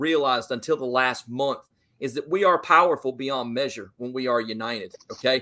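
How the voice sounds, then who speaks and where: A man delivers his words at a fairly quick pace. His voice carries a bright, sharp tone. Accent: American. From US South, Georgia. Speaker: football fan guest. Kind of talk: casual chat. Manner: animated.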